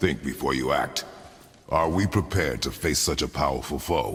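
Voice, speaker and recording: In a put-on character voice, a man with a very deep, low pitch keeps to a moderate pace. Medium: video game. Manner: terse, stern.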